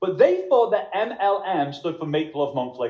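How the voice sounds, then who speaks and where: Speaking in a Liverpool accent at a moderate pace, a man uses a high pitch and lively intonation. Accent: Liverpool (Scouse) English. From Liverpool, England. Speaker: network marketing trainer. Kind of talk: motivational workshop presentation.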